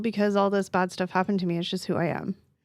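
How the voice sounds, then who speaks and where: The woman talks in an animated tone. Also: very clean recording, silent background. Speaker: podcast co-host. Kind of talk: casual chat. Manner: fast.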